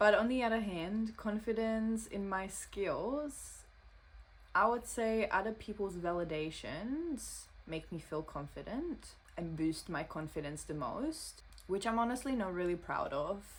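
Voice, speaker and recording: The woman has a non-native accent. There is a somewhat breathy quality to her voice. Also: medium pitch for a woman, fairly slow pace. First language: not English. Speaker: social media creator. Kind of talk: reading aloud.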